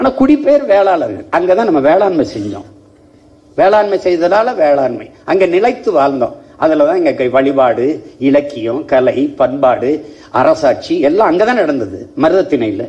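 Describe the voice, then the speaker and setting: A man speaks in a passionate tone at a high pitch. His voice makes very wide pitch swings. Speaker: politician. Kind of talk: political rally speech. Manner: fiery, passionate. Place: hall. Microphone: podium.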